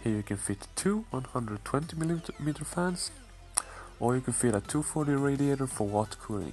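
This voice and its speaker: A man speaks at a moderate pace and medium pitch while music plays in the background. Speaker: PC case modder. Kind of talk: casual tutorial talk to camera.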